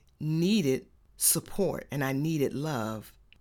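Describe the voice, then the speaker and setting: A woman speaks very slowly with an Atlanta accent, her pitch swinging very widely, on a very clean recording with a silent background. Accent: Southern US (Atlanta). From US South, Atlanta, Georgia. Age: young. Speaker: podcast host. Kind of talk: solo faith talk monologue.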